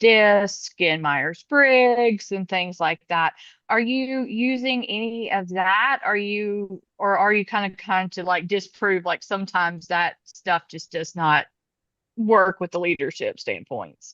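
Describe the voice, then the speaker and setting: Speaking very slowly with a Southern US accent, a woman uses a medium pitch and ordinary pitch variation. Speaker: community member asking a question. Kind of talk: Q&A question on video call.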